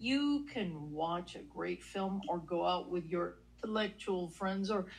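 Her voice is somewhat breathy, with a medium pitch for a woman. The recording is very clean, with a silent background. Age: 40s. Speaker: relationship podcast co-host. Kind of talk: casual chat. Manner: animated.

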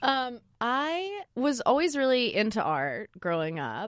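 A woman with an American accent speaks with very wide pitch swings against a quiet background. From Oregon (Lake Oswego, near Portland). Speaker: graphic designer, studio co-founder. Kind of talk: casual chat.

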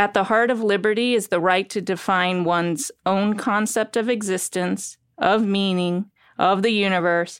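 A woman's unremarkable speaking voice at medium pitch, moderate pace and fairly even intonation, with very even loudness on a very clean recording with a silent background. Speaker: podcast host and psychoanalyst. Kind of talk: interview conversation.

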